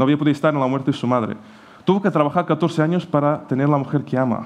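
Ordinary pitch variation with a non-native accent. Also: man. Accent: foreign accent in Spanish. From Portugal. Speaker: pastor. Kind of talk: sermon. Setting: church.

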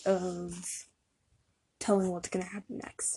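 A woman's dark, mellow, somewhat breathy voice at a fairly slow pace. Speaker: podcast host talking about anxiety. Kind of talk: solo personal talk about anxiety, opinion-based.

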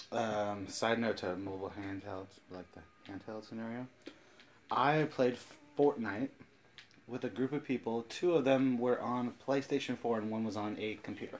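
At a moderate pace, a man uses an ordinary speaking voice with medium pitch and ordinary pitch variation, his loudness swinging widely. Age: 30s. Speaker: podcast host. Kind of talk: casual chat.

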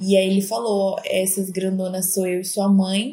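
A woman speaks at a moderate pace. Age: 20s. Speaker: marketing professional, host's sister. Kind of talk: casual interview.

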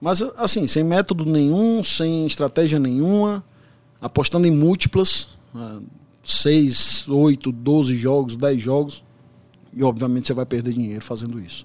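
Long, frequent pauses from a man at a fairly high pitch, with lively intonation and a fairly slow pace. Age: 40s. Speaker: sports betting tipster. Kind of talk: casual interview.

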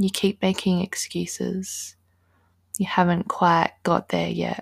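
A woman's calm, soothing voice at a fairly slow pace, dry and close with no echo, on a very clean recording with a silent background. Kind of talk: guided meditation. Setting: solo recording addressing listener. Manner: slow, calm, soothing, with long pauses; gentle, instructive, with a motivational tone.

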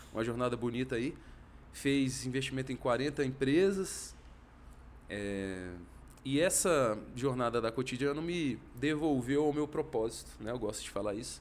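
Speaking at a fairly slow pace, a man uses an unremarkable speaking voice of medium pitch with ordinary pitch variation. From Brasília, Brazil. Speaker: economist and venture capital investor. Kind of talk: casual interview chat.

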